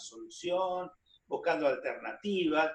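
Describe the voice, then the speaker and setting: Speaking at a fairly slow pace, a man talks in a high pitch. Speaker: TV talk show host. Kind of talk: TV interview.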